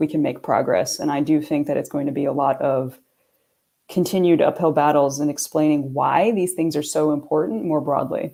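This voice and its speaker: A woman with a New York accent, very deep and low in pitch, dark and mellow in tone, at a moderate pace with fairly even intonation, on a very clean recording with a silent background. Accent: New York American. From New York area, US. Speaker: sustainability consultant. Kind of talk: panel discussion.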